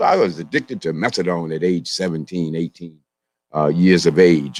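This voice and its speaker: A man talks at a moderate pace with an American accent. The sound is dry and close, with no echo. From US, Southeast Washington, D.C. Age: 60s. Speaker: naturopathic doctor and speaker. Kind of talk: speech at community event. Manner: many fillers, halting.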